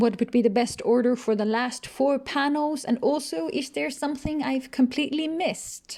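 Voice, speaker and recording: With a non-native accent, a woman talks at a moderate pace in a high pitch, using ordinary pitch variation and hardly any pauses. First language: not English. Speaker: researcher and comic illustrator. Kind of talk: tutorial.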